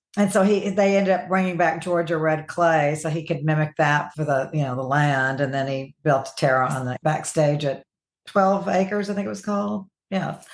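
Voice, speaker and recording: With a Southern US accent, a woman speaks at a very deep, low pitch. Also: ordinary pitch variation, moderate pace. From US South. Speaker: author. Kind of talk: interview.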